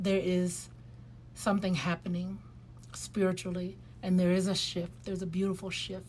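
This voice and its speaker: Moderate pacing with long, frequent pauses, in a room with audible echo. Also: woman. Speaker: lifestyle vlogger. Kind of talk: casual vlog monologue. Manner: hesitant, many fillers.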